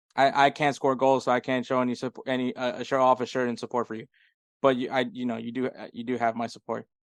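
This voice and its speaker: Over a quiet background, a man speaks at a moderate pace and medium pitch in a monotone, flat intonation, with a dry, close sound with no echo. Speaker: soccer podcast co-host. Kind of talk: casual podcast chat. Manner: sounds sarcastic by nature; hesitant, many fillers and repeats.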